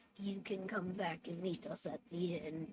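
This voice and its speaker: Speaking at a moderate pace, a woman adopts a put-on character voice. It sounds raspy and sits at a medium pitch. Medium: actual play.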